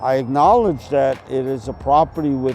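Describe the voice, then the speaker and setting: With music playing in the background, a man speaks fairly slowly, his pitch varying in an ordinary way. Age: 70s. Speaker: artist and property owner. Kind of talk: interview.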